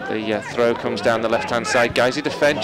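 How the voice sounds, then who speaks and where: Noticeable background noise surrounds a man's voice. His pitch varies in an ordinary way. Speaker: football match commentator. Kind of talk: live football match commentary.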